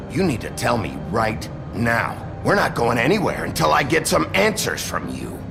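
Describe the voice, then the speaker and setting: Amid loud background noise, a man uses a put-on character voice at a moderate pace and medium pitch. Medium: game stream. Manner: gruff, terse.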